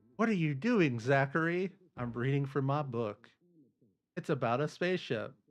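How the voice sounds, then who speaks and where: Music plays in the background as a man speaks with a fairly high pitch and lively intonation. He keeps a moderate pace with long, frequent pauses. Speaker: gaming streamer. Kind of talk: live gameplay stream chat. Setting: live stream. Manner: casual, conversational.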